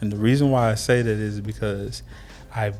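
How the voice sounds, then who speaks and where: A man talks at a moderate pace with music playing behind him. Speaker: barber and business owner. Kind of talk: interview conversation. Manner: halting, repeats words.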